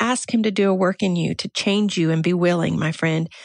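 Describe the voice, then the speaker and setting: Recorded with a quiet background and a dry, close sound with no echo, a woman speaks at a moderate pace. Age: 50s. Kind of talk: devotional talk.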